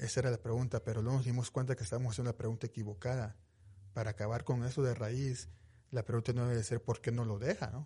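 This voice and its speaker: Speaking very fast, a man uses a medium pitch and fairly even intonation. His tone is dark and mellow, and somewhat breathy. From Mexico, Veracruz. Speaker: police victim advocate. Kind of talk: radio interview. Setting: studio.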